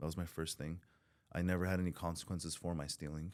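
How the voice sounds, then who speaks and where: Speaking with a Southern California accent, a man has a very deep, low pitch. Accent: Southern California American English. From Southern California, born in Iran. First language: Farsi (also Armenian). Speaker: recovering addict, former prisoner. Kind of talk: podcast interview, personal testimony. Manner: casual, halting with many fillers.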